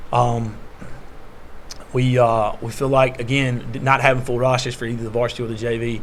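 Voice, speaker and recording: Speaking at a fairly quick pace, a man with a medium pitch is heard with audible room echo. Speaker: high school basketball coach. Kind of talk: media day interview. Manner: loud; hesitant, many fillers.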